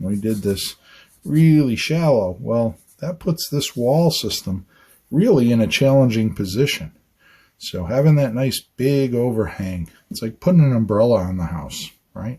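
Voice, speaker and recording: A man speaks at a fairly slow pace in a somewhat breathy, dark and mellow voice. His pitch sits in the middle of his range yet swings very widely. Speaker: architect. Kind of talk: on-site educational talk. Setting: outdoors on a job site. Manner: conversational, repetitive emphasis.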